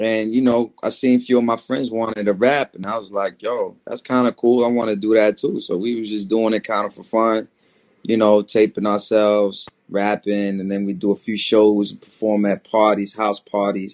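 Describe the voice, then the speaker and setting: Recorded with a dry, close sound and no echo, a man with an American accent speaks in a fairly low, monotone, flat voice whose loudness swings widely. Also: moderate pace. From Maryland / DC area, US. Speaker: rapper. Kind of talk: interview. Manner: halting, repeats words.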